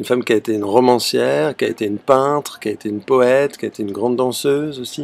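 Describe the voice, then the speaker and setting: At a very fast pace, a man talks with hardly any pauses. His pitch is medium and varies in an ordinary way. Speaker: theatre director. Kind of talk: video self-presentation. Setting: outdoors on a terrace.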